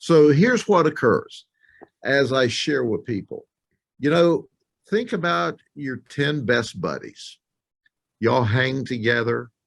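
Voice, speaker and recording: A man with an American accent speaks at a very slow pace in a medium pitch, his voice showing vocal fry and broken by long, frequent pauses. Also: lively intonation. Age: 60s. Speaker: sheriff. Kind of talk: interview. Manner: emphatic.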